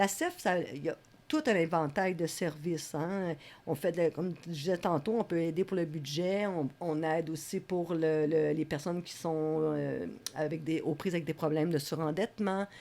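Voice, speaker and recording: A woman with a fairly low pitch and a dark, mellow tone speaks at a moderate pace with fairly even intonation. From Quebec, Laval. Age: 60s. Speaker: community worker. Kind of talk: interview.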